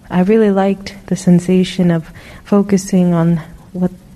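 Noticeable background noise sits behind this recording. A woman speaks at a fairly low pitch in a monotone, flat intonation. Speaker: meditation participant. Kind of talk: group sharing. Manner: halting.

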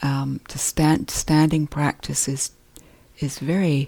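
The voice is calm and gentle, somewhat breathy, with a dark, mellow tone. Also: woman. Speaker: meditation teacher. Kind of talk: guided meditation. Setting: meditation retreat hall. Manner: calm, slow, gentle; soft-spoken, unhurried with pauses.

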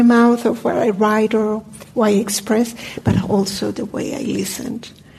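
A woman talks at a moderate pace with a fairly high pitch and monotone, flat intonation. Noticeable background noise is present. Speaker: meditation teacher. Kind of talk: dharma talk. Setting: meditation hall with audience, microphone.

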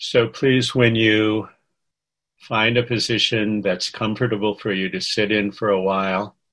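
A man with a plain, everyday voice speaks fairly slowly at a fairly low pitch. His intonation is fairly even, and the background is quiet. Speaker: meditation teacher. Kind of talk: guided meditation. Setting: video call. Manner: soft, slow and gentle.

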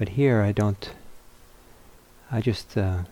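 Soft-spoken and slow, a man talks with a fairly low pitch, a dark, mellow tone and ordinary pitch variation.

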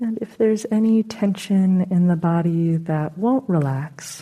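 A woman speaks at a fairly slow pace in a fairly low pitch with ordinary variation. Her tone is calm, gentle, dark and mellow, and somewhat breathy. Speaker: meditation teacher. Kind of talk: guided meditation. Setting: meditation center, talk recorded for audience. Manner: slow, soft-spoken; calm, gentle, unhurried with long pauses.

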